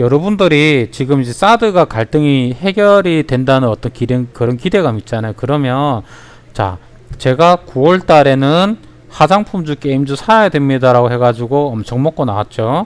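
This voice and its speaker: With a strong Gyeongsang accent, a man speaks at a moderate pace in a fairly high pitch with lively intonation. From Ulsan, South Korea. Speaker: stock market educator. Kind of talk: livestream stock tutorial. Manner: animated.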